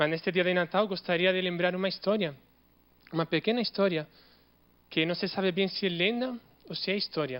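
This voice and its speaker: Speaking with a non-native accent, a man talks at a moderate pace in a high voice with ordinary pitch variation. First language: not Portuguese (speaking Portuguese). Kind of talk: Christmas homily told as a story.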